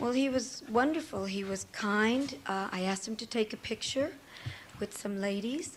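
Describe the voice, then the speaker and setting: A woman with a fairly high voice speaks at a moderate pace, somewhat breathy, her intonation lively. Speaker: trial witness, songwriter. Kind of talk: witness testimony. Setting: courtroom.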